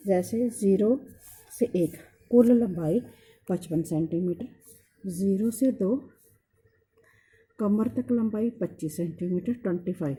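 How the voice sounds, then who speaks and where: Speaking in a Punjabi accent, a woman with a medium pitch and a dark, mellow tone sounds somewhat breathy, using lively intonation and long, frequent pauses. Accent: Punjabi-accented Hindi. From Punjab, India. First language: Punjabi (speaking Hindi). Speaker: sewing teacher. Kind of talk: tutorial. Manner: hesitant, many fillers.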